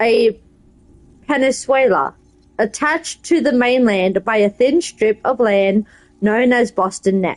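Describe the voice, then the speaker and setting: Speaking at a fairly slow pace with an Australian accent, a woman holds a very even loudness, her high pitch showing ordinary variation. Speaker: game streamer. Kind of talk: reading aloud; casual gameplay commentary.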